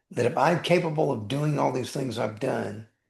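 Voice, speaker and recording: There is vocal fry in this man's medium-pitched voice, which carries lively intonation. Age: 60s. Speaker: attorney and life coach. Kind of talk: podcast interview. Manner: animated.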